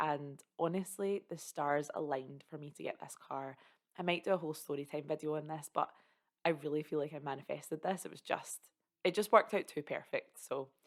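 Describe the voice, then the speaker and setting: In a Scottish accent, a woman speaks at a fairly quick pace with a very deep, low pitch and an upbeat tone. Her loudness swings widely, while her pitch variation is ordinary. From Scotland. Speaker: content creator. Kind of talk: casual talk to camera. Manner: upbeat, chatty.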